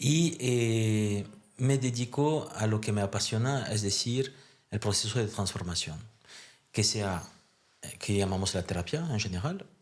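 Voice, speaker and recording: A man with a French accent speaks at a fairly low pitch and a fairly slow pace. His pitch varies in an ordinary way on a very clean recording with a silent background. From France. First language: French (speaking Spanish). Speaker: therapist and therapist trainer. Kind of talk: podcast interview.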